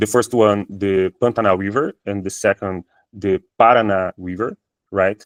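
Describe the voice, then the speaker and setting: Fairly slow speech with a Brazilian Portuguese accent, dry and close with no echo, on a very clean recording with a silent background. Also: man. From Brazil, Campo Grande. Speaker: university professor. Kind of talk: academic presentation. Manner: halting, many fillers.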